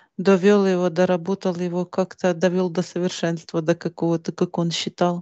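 The intonation is monotone and flat. The sound is dry, with no echo. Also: woman, quiet background. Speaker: interviewee. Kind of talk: interview answer. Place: home room. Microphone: headset.

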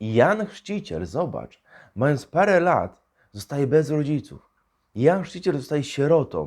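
A man's fairly high voice with very wide pitch swings at a fairly slow pace, on a very clean recording with a silent background. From central Poland, Tomaszów Mazowiecki. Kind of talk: homily.

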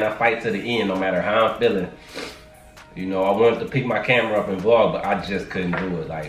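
A man talking at a fairly quick pace, with audible room echo and faint music in the background. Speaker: vlogger. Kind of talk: casual vlog chat. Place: kitchen. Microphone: camera far.

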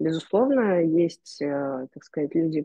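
A woman speaks very slowly in a very deep, low voice. The sound is dry with no echo, and the background is quiet. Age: 20s. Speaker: gallery curator and photographer; podcast guest. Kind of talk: interview conversation. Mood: calm, thoughtful. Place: home room. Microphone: video call.

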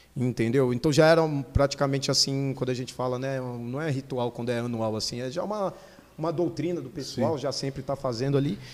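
He has an unremarkable speaking voice at a medium pitch for a man. His pace is fairly quick and his pitch varies in an ordinary way. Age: 30s. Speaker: motorcycle stunt rider; podcast guest. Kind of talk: casual chat. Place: studio. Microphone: studio mic.

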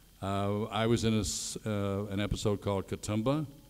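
A man speaks with a fairly low pitch and fairly even intonation. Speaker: guest. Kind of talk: panel Q&A answer. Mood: relaxed, friendly. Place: stage.

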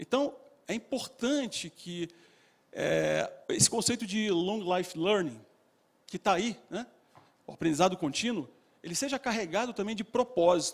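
With lively intonation and a high pitch, a man talks at a fairly slow pace, leaving long, frequent pauses. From Rio de Janeiro, Brazil. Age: 50s. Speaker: business executive and lecturer; lecturer. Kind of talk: motivational talk. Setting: stage with audience. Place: hall. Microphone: handheld.

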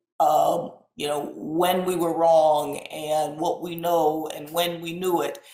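Against a quiet background with audible room echo, a woman speaks at a very slow pace and a fairly low pitch, her intonation fairly even but her loudness swinging widely. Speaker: epidemiologist, college president. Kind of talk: panel discussion. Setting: online live web event. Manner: hesitant, many fillers. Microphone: webcam.

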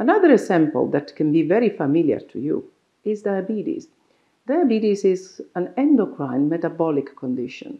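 The speaker, with an Italian accent, shows very wide pitch swings over a quiet background. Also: woman, moderate pace. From Italy. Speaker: doctor. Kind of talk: explainer talk to camera. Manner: halting. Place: office. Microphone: lapel.

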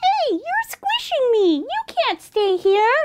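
In a put-on character voice, someone speaks very slowly, squeaky and extremely high in pitch. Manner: annoyed.

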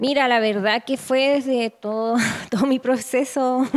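With a Chilean accent and a fairly high pitch, a woman talks very slowly with ordinary pitch variation against a quiet background. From northern Chile. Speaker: photographer. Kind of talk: interview. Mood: reflective, calm. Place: home room. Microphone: handheld.

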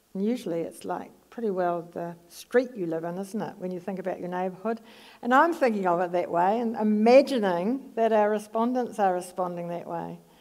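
Over a quiet background, a woman with a New Zealand accent talks with hardly any pauses. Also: ordinary pitch variation, moderate pace. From New Zealand, Palmerston North. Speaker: psychology professor. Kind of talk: lecture; audience Q&A. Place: stage.

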